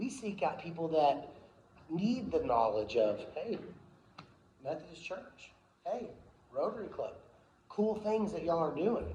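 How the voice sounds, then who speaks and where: Loud and high-pitched, a man speaks at a moderate pace with very wide pitch swings and long, frequent pauses, amid audible room echo and noticeable background noise. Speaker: promotional company owner giving a club talk. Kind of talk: speech to a club meeting.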